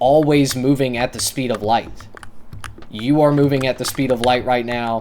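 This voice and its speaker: Man at medium pitch, fairly even intonation, noticeable background noise behind him. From rural America. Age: 20s. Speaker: streamer. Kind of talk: casual chat. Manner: halting.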